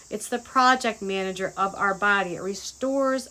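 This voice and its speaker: A woman with a bright, sharp tone speaks at a fairly slow pace with fairly even intonation. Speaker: health vlogger sharing seminar notes. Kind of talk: casual reading from notes. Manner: halting, occasional stammering.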